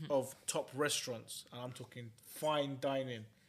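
Very slow speech comes from a man with a London accent. His intonation is monotone and flat. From West London. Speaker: podcast co-host. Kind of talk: casual chat.

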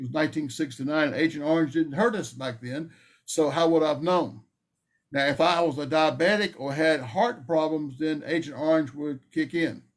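This man speaks with a Southern US accent. His pitch is fairly high, with ordinary pitch variation. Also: moderate pace, very clean recording, silent background. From North Carolina. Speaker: Vietnam veteran, veteran advocate. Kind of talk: interview.

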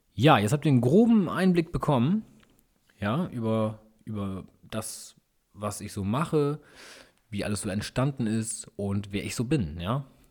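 Lively intonation is broken by long, frequent pauses in a very clean recording with a silent background. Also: man, medium pitch for a man. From northern Germany, East Frisia area. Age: 30s. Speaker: YouTuber and car mechanic hobbyist. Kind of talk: casual solo podcast monologue.

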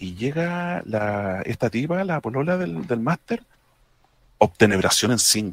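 A man speaks at a fairly slow pace and a medium pitch. His very wide pitch swings come through in a dry, close sound with no echo. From Chile. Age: 30s. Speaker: tabletop role-playing gamer. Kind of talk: casual panel chat. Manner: halting.

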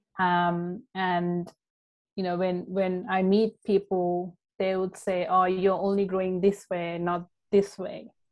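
A woman speaks at a medium pitch and a fairly slow pace, her intonation monotone and flat. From Sri Lanka. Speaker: life coach. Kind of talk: podcast interview. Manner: frequent fillers (um).

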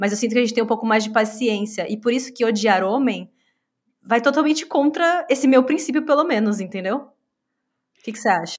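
With lively intonation and a fairly high pitch, a woman talks fairly quickly in a normal speaking voice. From Brazil. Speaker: podcast co-host. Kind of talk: casual chat.

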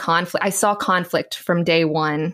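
Over a silent background in a very clean recording, a woman with a fairly low pitch speaks at a fairly slow pace with an American accent. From Southeast Texas. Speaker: writer and church abuse survivor advocate. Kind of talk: interview conversation.

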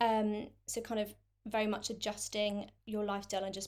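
At a moderate pace, a woman with a London accent speaks at medium pitch with fairly even intonation. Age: 20s. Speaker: content creator with chronic illness. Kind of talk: interview. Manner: hesitant with fillers.

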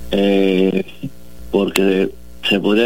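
A man talks at a fairly low pitch. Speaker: sports federation president. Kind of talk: interview.

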